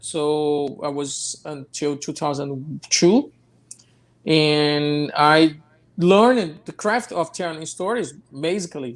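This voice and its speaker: With a Portuguese accent, a man speaks at a fairly slow pace and a fairly high pitch, using ordinary pitch variation. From Brazil, Rio de Janeiro. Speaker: film director. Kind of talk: interview. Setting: live online show. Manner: halting, many repetitions.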